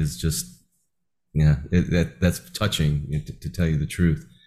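A man speaks at a moderate pace with an American accent. His voice is somewhat breathy. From New Jersey. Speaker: podcast host. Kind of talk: interview.

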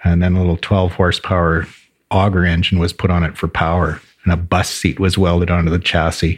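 In a Canadian prairie accent, a man with a very deep, low voice talks at a fairly quick pace, his loudness very even and his intonation monotone and flat, on a very clean recording with a silent background. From rural southern Alberta, Canada. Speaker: brewery co-owner. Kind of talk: casual interview. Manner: laughs often.

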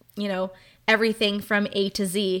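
At a fairly slow pace, a woman speaks in a medium pitch with a bright, sharp tone and fairly even intonation, recorded very cleanly against a silent background. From Southern California. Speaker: interior designer and podcast host. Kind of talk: solo podcast monologue.

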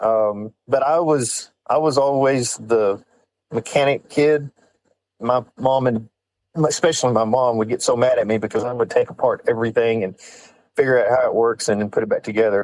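A man speaks at medium pitch and a moderate pace, with ordinary pitch variation. He has a West Texas accent. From West Texas (San Angelo). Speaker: off-road shop owner. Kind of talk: casual chat.

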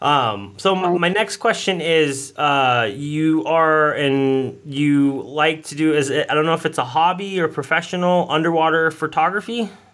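This man has a fairly high pitch and ordinary pitch variation, speaking at a fairly slow pace. It is a plain, everyday voice. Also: hardly any pauses. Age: 40s. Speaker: podcast host. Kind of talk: interview.

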